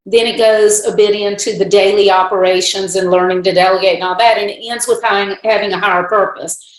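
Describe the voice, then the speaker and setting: Over noticeable background noise and audible room echo, a woman talks at a fairly quick pace with hardly any pauses and a monotone, flat intonation. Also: medium pitch for a woman. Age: 60s. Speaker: business consultant and author. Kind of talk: podcast interview.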